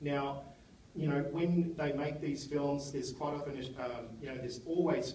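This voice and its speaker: In an Australian accent, the voice keeps a moderate pace and fairly even intonation, with audible room echo and noticeable background noise. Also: man. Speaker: film critic. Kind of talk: live speech introducing a film screening to an audience. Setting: cinema stage with audience. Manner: loud; halting, many fillers and restarts.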